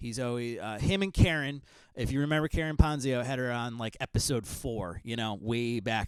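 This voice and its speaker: A man with a medium-pitched voice speaks at a fairly quick pace. His intonation is lively. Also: very clean recording, silent background. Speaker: podcast host. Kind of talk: podcast monologue intro. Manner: casual with fillers and stumbles.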